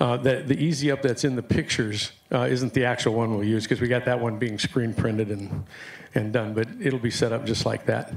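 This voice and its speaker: The speech moves at a fairly quick pace. Noticeable background noise is present. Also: man, medium pitch for a man. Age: 60s. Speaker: applicant vendor, electric bicycle seller. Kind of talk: pitch at public board meeting. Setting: city board meeting room. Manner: hesitant, many fillers; casual, enthusiastic.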